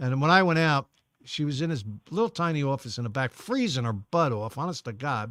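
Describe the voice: A man talks at a fairly quick pace in a medium pitch, his fairly bright tone carrying lively intonation over a very clean recording with a silent background.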